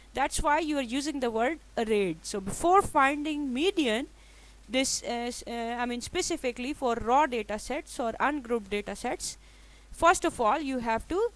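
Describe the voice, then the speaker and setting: In a very clean recording with a silent background, a woman speaks at high pitch and a moderate pace. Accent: Pakistani. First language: Urdu. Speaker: statistics lecturer. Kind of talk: lecture. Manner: halting, many fillers.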